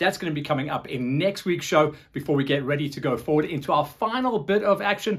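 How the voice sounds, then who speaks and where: Here a man speaks at a fairly quick pace, somewhat breathy. The background is quiet. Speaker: show host. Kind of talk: show presenting to camera. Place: studio. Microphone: lapel.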